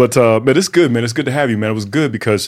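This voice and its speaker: With lively intonation, a man speaks on a very clean recording with a silent background. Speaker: podcast host. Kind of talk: casual interview.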